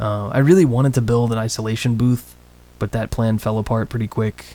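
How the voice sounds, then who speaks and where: A soft-spoken man talks at a moderate pace with fairly even intonation. Noticeable background noise is present. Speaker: streamer and voice actor. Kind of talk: casual chat. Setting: home studio room for a livestream. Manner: quiet.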